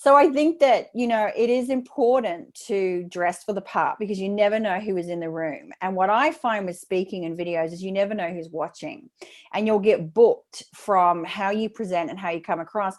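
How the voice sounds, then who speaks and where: A woman speaks with an Australian accent at a medium pitch. Her intonation is lively, and she leaves hardly any pauses. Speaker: speaking coach. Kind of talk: interview. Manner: fast.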